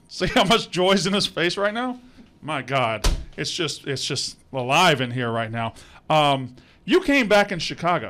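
In an American accent, a man with a fairly high, bright, sharp voice speaks at a fairly slow pace with very wide pitch swings. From US South. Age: 40s. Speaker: podcast host. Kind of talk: casual chat. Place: studio. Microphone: studio mic.

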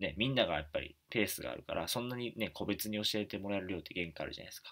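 A man's voice over a quiet background. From Japan, Wakayama; Japan. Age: 20s. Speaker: YouTuber and author; education vlogger. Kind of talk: casual talk to camera. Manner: many fillers, halting. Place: home room. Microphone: webcam.

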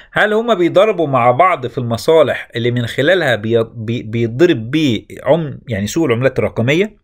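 This man has a fairly high pitch and an Egyptian accent. His intonation is lively and his pace moderate. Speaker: crypto YouTuber. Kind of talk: market commentary.

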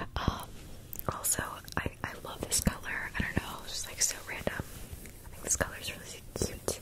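Against loud background noise, a woman speaks at a moderate pace, the sound dry with no echo. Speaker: ASMR creator. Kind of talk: soft ASMR chat. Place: home room. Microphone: studio mic.

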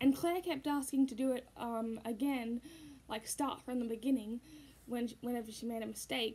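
The woman's delivery moves at a moderate speed. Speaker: puppeteer vlogger. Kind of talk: casual vlog chat. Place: home room. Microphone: phone near.

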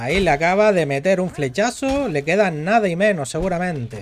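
A man talks in a high-pitched voice. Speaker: gaming streamer and tournament caster. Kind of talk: live commentary. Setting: live stream. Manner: animated.

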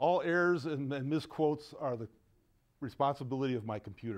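A man talks very fast, his pitch varying in an ordinary way, with a quiet background behind him. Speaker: presenter. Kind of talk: lecture. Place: meeting room. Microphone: lapel.

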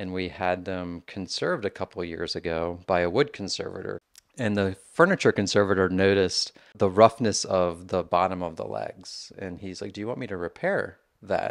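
A man with a very deep, low voice speaks at a moderate pace, his loudness swinging widely over a quiet background. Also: ordinary pitch variation. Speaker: tour guide. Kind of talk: interview answer. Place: kitchen. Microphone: handheld.

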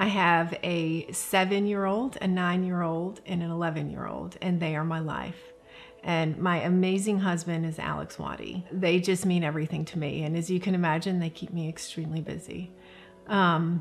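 Faint music plays in the background. The voice is monotone and flat, at a moderate pace. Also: woman, fairly low pitch for a woman. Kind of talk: interview answer. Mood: warm, candid, reflective. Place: home room.

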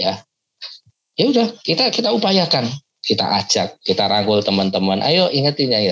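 Very wide pitch swings at very even loudness. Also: man, fairly high pitch for a man, moderate pace. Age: 40s. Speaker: pastor. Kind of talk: motivational talk to youth group. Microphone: earbuds.

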